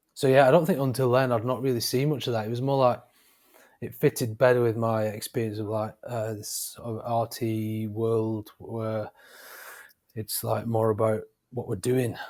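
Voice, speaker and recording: In a northern English accent, a man of medium pitch talks at a moderate pace with fairly even intonation. The recording is very clean, with a silent background. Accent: northern English accent, noticeable. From northern England, Wigan. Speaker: freelance graphic designer. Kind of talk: interview. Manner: halting, many fillers.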